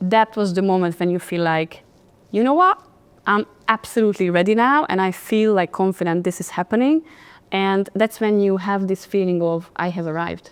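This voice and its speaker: A woman's medium-pitched voice with a Hungarian accent, ordinary pitch variation, and a dry, close sound with no echo. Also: moderate pace. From Hungary. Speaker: podcast host, confidence coach. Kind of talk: interview, casual chat. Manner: animated.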